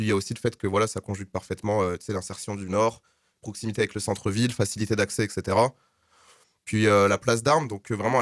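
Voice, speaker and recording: Over a silent background in a very clean recording, a man with a fairly low voice speaks very fast in a flat monotone. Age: 20s. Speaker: student festival organizer. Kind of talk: radio interview.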